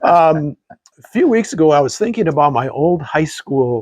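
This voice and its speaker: Somewhat breathy, fairly high-pitched speech from a man, with lively intonation at a fairly slow pace. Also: dry, close sound with no echo. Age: 70s. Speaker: podcast co-host. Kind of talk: casual chat. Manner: halting.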